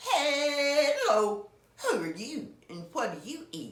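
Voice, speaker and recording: With slight echo, a woman uses a high-pitched put-on character voice at a very slow pace. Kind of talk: bedtime story. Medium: read story.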